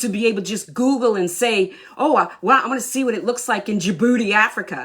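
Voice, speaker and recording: A woman with a Southern US accent talks in an animated tone, her fairly high voice moving in very wide pitch swings. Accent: sounds Southern US. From southern Maine, US. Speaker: Army veteran and workshop coach. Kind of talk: live online workshop talk. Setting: livestream. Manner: talkative.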